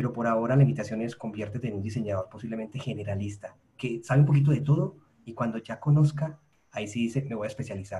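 This man has a dark, mellow tone, a somewhat breathy sound, ordinary pitch variation and a fairly quick pace. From Colombia, Medellín. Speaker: podcast host, UX researcher, academy co-founder. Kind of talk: casual interview chat.

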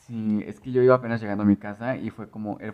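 With fairly even intonation, this man holds a medium pitch. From Mexico, small rural town near León. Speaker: podcast co-host. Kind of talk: casual chat.

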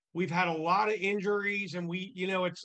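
A man with a high-pitched, raised and projected voice speaks at a moderate pace in a monotone, flat intonation. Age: 50s. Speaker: business networking group founder. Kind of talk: interview.

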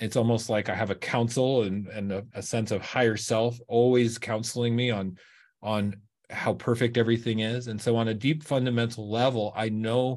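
A plain, everyday voice, with fairly even intonation and a moderate pace, sits over a quiet background. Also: man. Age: 50s. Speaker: raw vegan fitness coach. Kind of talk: podcast interview.

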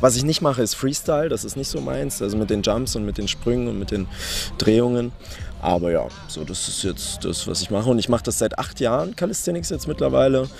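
There is noticeable background noise behind this man, whose voice sits at a medium pitch. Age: 20s. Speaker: calisthenics athlete. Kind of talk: interview. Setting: live at a competition venue.

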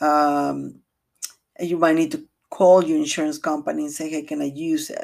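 A woman with a Latin American accent at a moderate pace. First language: Spanish. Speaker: realtor. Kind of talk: podcast monologue, informational talk. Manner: halting, with fillers.

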